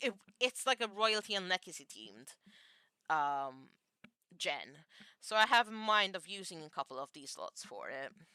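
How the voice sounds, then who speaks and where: In a dry, close recording with no echo, a woman's bright, sharp voice swings very widely in pitch. She moves at a moderate pace with long, frequent pauses. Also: medium pitch for a woman, big swings in loudness. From Malta. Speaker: gaming streamer. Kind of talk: casual livestream chat. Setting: livestream, reading chat. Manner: hesitant, many fillers and restarts.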